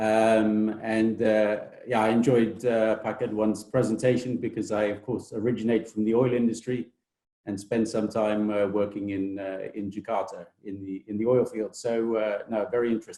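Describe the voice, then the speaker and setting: Speaking with a British accent at a moderate pace, the voice stays monotone with flat intonation. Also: man, fairly low pitch for a man. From Britain. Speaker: technology transfer office director. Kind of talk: webinar presentation. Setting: online webinar. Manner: hesitant, many fillers.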